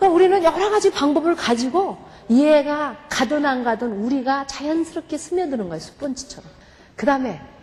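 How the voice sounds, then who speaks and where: A woman talks fairly quickly, her pitch swinging very widely, with noticeable background noise present. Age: 50s. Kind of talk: testimony.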